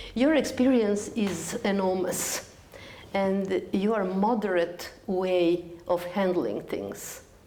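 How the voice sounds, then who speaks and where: The woman talks at a very slow pace, with medium pitch and ordinary pitch variation. Audible room echo and noticeable background noise are present. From Serbia, Belgrade. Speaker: TV interviewer. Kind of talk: interview.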